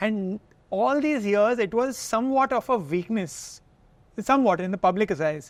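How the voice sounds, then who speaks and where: A man with an Indian accent speaks at a high pitch. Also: moderate pace. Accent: Indian accent, local diction. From India, Kolkata. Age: 30s. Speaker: health content creator. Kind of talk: podcast interview. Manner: mixes Hindi and English.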